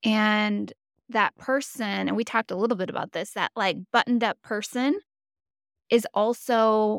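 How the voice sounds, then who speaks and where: Heard in a very clean recording with a silent background and a dry, close sound with no echo, a woman with an unremarkable speaking voice talks at a fairly high pitch and a fairly slow pace. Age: 40s. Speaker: podcast host. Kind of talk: casual interview chat.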